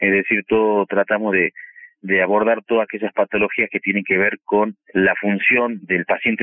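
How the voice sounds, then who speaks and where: Moderate pace and monotone, flat intonation from a man with a fairly low voice. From Argentina, Salta province. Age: 40s. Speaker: oral surgeon. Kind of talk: interview. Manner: halting, with fillers.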